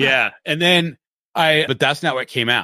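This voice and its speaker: A man with a plain, everyday voice, ordinary pitch variation, and a fairly quick pace. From Seattle area, US Pacific Northwest. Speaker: comic writer and podcast producer. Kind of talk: casual interview chat.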